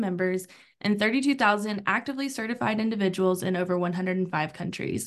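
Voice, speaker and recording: This woman has a normal speaking voice, moving at a fairly quick pace with ordinary pitch variation. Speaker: podcast host. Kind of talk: podcast interview moderation.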